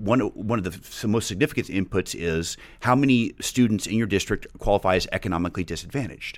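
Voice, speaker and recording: A man with an American accent talks at a very fast pace with hardly any pauses, his pitch fairly low with ordinary variation. The recording is very clean, with a silent background. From Texas, Dallas area (Highland Park). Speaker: political action committee volunteer. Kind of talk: casual interview. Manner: halting, many fillers and restarts.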